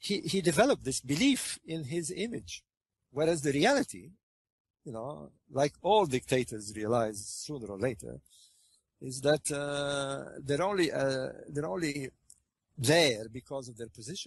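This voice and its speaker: Fairly high-pitched for a man and somewhat breathy, this man talks with lively intonation, big swings in loudness, and long, frequent pauses. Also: moderate pace, dry, close sound with no echo. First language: French. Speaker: interviewee, researcher on ancient Egypt. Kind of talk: interview conversation. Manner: hesitant, many fillers and repetitions.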